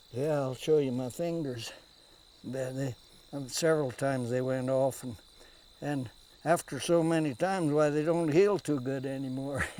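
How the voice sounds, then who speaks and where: Speaking in a rural western American accent, a man with a dark, mellow tone and a fairly high pitch keeps his intonation fairly even and leaves long, frequent pauses. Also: moderate pace. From US Rocky Mountain West. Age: 80s+. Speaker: trapper. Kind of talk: casual chat. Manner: halting.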